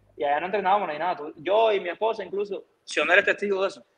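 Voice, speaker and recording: A man with a Cuban accent talks at a very fast pace. His pitch is high. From Camagüey, Cuba. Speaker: baseball pitcher; guest. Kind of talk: casual interview. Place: home room. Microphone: video call.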